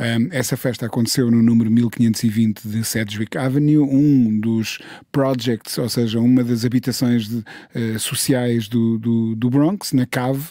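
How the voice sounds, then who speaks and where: In a dry recording with no echo and a quiet background, a man with a dark, mellow tone speaks at a fairly slow pace with hardly any pauses and fairly even intonation. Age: 50s. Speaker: music journalist and radio host; music journalist, radio host. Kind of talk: casual chat. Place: studio. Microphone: studio mic.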